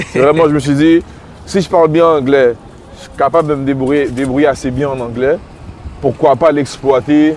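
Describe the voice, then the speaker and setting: A man with a Quebec accent talks at a fairly high pitch with fairly even intonation, taking long, frequent pauses. His loudness swings widely, and background noise is noticeable. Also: moderate pace. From Quebec, Montreal (Little Burgundy). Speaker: rapper. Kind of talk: casual interview walking tour.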